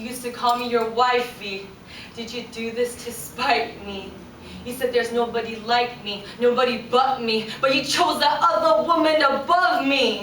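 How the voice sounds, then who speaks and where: A woman's high-pitched, intense voice at a moderate pace, with ordinary pitch variation and noticeable background noise. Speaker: spoken word poet. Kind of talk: spoken word poetry performance. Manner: emotional, intense.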